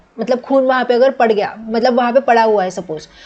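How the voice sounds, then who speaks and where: A woman speaks with a Marathi accent. Her pitch sits fairly high. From Maharashtra, India. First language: Marathi (speaking Hindi). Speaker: student teacher / exam tutor. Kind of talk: lecture. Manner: casual, code-switching Hindi and English.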